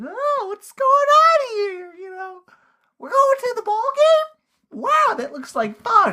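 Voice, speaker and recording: A squeaky, put-on character voice at an extremely high pitch, delivered at a fairly slow pace. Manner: flat monotone, vacantly cheerful.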